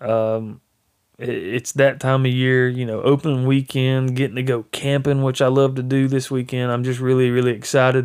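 Speaking in a Southern US accent, a man keeps a moderate pace at a medium pitch with monotone, flat intonation. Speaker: hunting podcaster. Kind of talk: casual monologue. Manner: rambling with fillers. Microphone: new microphone.

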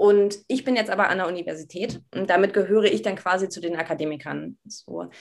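A woman speaks at a fairly quick pace with hardly any pauses, her medium-pitched voice showing vocal fry and ordinary pitch variation. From Berlin, Germany. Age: 20s. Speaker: university student. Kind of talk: casual interview.

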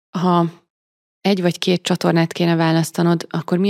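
In a very clean recording with a silent background, a woman speaks at a fairly low pitch with a dry, close sound and no echo. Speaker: podcast host. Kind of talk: interview.

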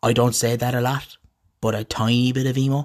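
A man with an Irish accent talks in a monotone, flat intonation. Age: 30s. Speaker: podcast host. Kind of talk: casual monologue.

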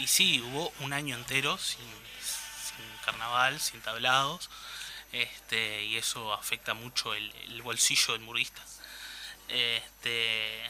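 A man speaks at a very slow pace in a Uruguayan accent, his intonation fairly even. Noticeable background noise runs underneath. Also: medium pitch for a man. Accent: Uruguayan Spanish (rioplatense). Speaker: carnival columnist. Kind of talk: radio talk segment. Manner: hesitant, many repeated words.

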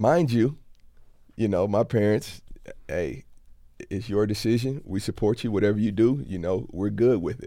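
A man with an American accent talks at a moderate pace, his fairly low, dark, mellow voice showing ordinary pitch variation and long, frequent pauses. The recording is very clean with a silent background. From Florida panhandle, US South. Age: 30s. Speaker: former college football player. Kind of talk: casual interview.

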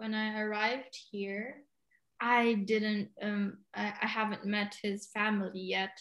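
Fairly slow speech from a woman with a fairly high pitch. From Philippines, Cagayan de Oro. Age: 20s. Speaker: podcast guest. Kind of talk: casual chat.

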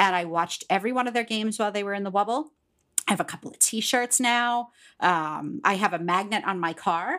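A woman with an American accent speaks at a fairly quick pace in a medium pitch, with an unremarkable speaking voice and ordinary pitch variation. Her loudness swings widely, and the recording is very clean with a silent background. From Pittsburgh, Pennsylvania. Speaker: podcast co-host, school district worker. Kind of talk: casual chat.

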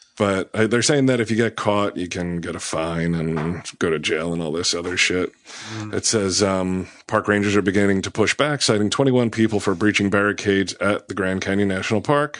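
At a moderate pace, a man talks in an ordinary speaking voice, fairly low in pitch, with ordinary pitch variation. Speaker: podcast host. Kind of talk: casual comedy podcast banter. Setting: studio.

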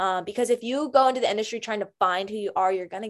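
An American accent colors this woman's animated, medium-pitched voice, which has ordinary pitch variation. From US South, Greensboro, North Carolina. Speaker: actress. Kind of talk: casual interview.

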